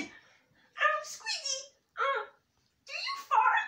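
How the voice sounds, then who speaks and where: The speaker uses a cartoonish character voice at an extremely high pitch. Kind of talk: comedy puppet show host talk. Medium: puppet. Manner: hesitant, halting.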